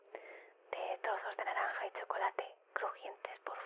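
Very slowly, the woman whispers her words. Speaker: ASMR creator in phone-call roleplay. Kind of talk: ASMR phone-call style talk, caring and encouraging. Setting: home, kitchen sounds. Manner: soft-spoken, gentle, reassuring.

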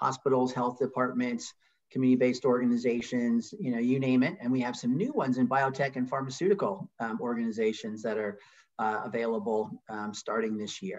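Against a quiet background, a man talks at a fairly quick pace. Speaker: nonprofit founder and CEO. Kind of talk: webinar presentation. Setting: video call. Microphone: video call.

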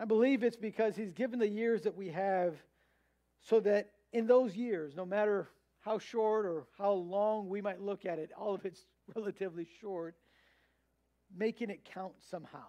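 A man with a high pitch and a dark, mellow tone talks at a moderate pace, using ordinary pitch variation and long, frequent pauses over a quiet background. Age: 30s. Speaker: pastor. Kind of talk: sermon. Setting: church. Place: church.

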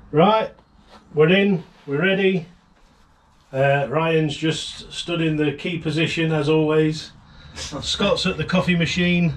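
Very slowly, a man speaks with long, frequent pauses. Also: fairly even intonation. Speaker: channel host. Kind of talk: casual vlog chat. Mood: cheerful, joking. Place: garden.

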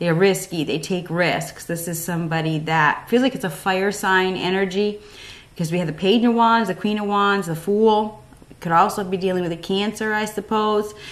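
Speaking at a moderate pace, the woman keeps her intonation fairly even. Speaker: tarot reader. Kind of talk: tarot reading commentary. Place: home room.

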